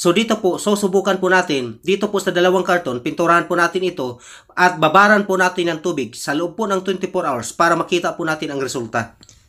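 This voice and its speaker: Barely pausing, the speaker talks at a very fast pace in a very clean recording with a silent background. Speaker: paint tutorial YouTuber. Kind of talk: tutorial. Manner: polite, formal.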